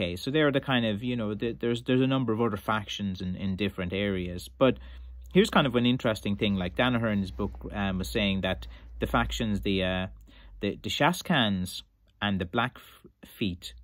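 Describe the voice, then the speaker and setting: Fairly low in pitch, a man speaks at a fairly quick pace. The sound is dry with no echo, and the background is quiet. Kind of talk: casual vlog chat. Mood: relaxed, amused. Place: shop. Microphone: phone near.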